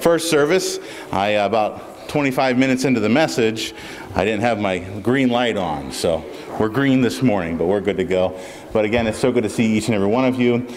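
A man speaks at a fairly quick pace. Light background noise can be heard. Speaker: pastor. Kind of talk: church announcements and prayer. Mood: warm and grateful. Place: church. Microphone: podium.

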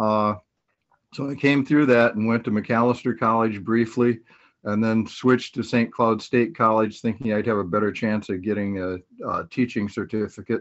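Against a quiet background, a man with a Northern US accent talks at a moderate pace and a medium pitch. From US Midwest (Minnesota). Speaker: speaker. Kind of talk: testimony. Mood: calm, earnest. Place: home room. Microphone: webcam.

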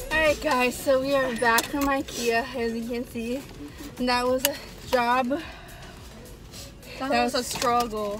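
Faint music plays behind a woman with a high voice and fairly even intonation. She speaks at a moderate pace, and the sound is dry with no echo. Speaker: vlogger. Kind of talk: casual vlog chat. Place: car. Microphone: phone near.

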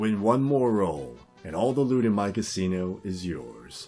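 A booming, put-on character voice over faint background music. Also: man, fairly low pitch for a man, moderate pace. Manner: taunting, menacing.

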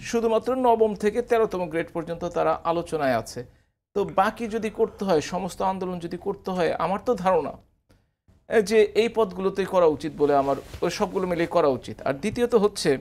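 A male voice, high for a man, with ordinary pitch variation. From Bangladesh. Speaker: professor and former member of parliament; professor. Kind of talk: TV talk show debate. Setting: TV studio. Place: studio. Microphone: lapel.

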